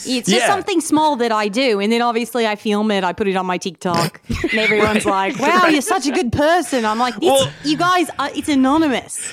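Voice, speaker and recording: The voice holds very even loudness at a moderate pace with hardly any pauses, its pitch swinging very widely. The tone is playful, and background noise is noticeable. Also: woman, high pitch for a woman. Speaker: podcast guest. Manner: playful, comedic.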